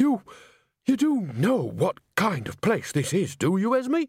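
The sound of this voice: On a very clean recording with a silent background, a man does a put-on character voice at a high pitch, with very wide pitch swings, a slightly husky edge and a fairly slow pace.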